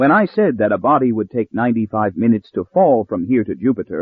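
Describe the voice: Someone is doing plain reading aloud.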